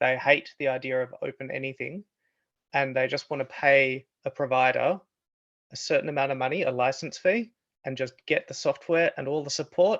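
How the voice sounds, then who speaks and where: This man has a fairly high pitch and talks with an Australian accent. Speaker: researcher. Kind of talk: online discussion.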